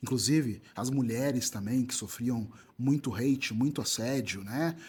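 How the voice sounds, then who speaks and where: A man's moderately paced speech comes through on a very clean recording with a silent background. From southern Brazil (Rio Grande do Sul). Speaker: writer, content creator and presenter. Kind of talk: interview conversation. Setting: live festival, band audible in background.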